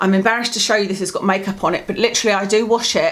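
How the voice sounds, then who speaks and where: The speech comes at a very fast pace. The speaker has a British accent. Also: woman. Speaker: lifestyle vlogger. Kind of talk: product review vlog.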